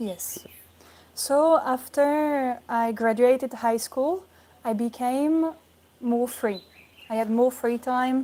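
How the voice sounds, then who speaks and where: A woman's high-pitched voice with a dark, mellow tone, moving at a very slow pace through long, frequent pauses. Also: ordinary pitch variation. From France. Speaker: yoga student. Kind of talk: interview.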